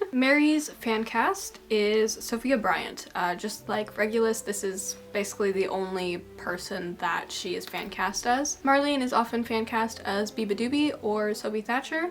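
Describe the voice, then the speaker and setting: A woman talks at a fairly high pitch with ordinary pitch variation. Noticeable background noise runs underneath. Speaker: video essayist. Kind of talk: video essay monologue. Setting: home video recording under bright lights. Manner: casual, filler-heavy.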